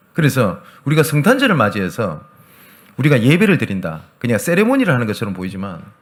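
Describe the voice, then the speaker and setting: Vocal fry and very wide pitch swings in a man's medium-range voice. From Gyeongsang region, South Korea. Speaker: pastor. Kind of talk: sermon.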